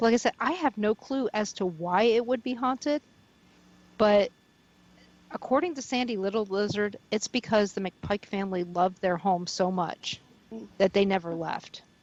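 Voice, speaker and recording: A woman at a medium pitch with an American accent, moderate pace and ordinary pitch variation, in a dry, close sound with no echo over noticeable background noise. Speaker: paranormal radio host and investigator, volunteer at a haunted mansion. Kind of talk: radio interview answer, telling stories about a haunted mansion.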